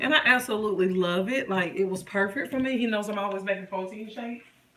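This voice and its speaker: Amid noticeable background noise and audible room echo, a woman talks at a very fast pace. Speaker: lifestyle vlogger. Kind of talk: casual live stream chat. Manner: loud.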